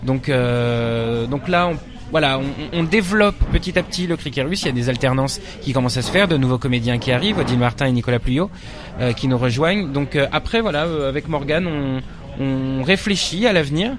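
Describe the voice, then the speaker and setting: With noticeable background noise behind him, a man speaks at a fairly quick pace, his fairly high pitch moving in lively intonation. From Paris suburbs, Nanterre. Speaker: stage director and actor. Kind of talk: interview. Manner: halting, many hesitations.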